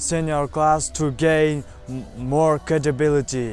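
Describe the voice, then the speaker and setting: A man's fairly high voice with a non-native accent and ordinary pitch variation, with music in the background. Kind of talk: personal story told to camera. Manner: hesitant, halting.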